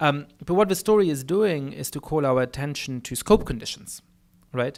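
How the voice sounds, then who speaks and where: In a very clean recording with a silent background, a man with a German accent speaks at a fairly high pitch with lively intonation. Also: moderate pace. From Germany. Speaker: political scientist. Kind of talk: lecture Q&A answer. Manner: many fillers and repetitions.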